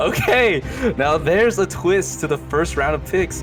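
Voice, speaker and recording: Behind the voice, music can be heard. The man's delivery keeps a moderate pace. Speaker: game commentator. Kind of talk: esports casting commentary.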